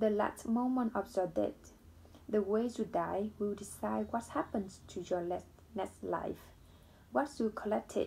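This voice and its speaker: The speaker is a woman with a non-native accent. She talks very slowly. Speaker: book reader. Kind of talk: reading aloud; casual chat. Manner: halting.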